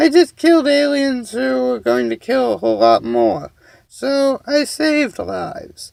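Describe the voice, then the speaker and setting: At a moderate pace, a man performs in a put-on character voice. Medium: read story. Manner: flustered.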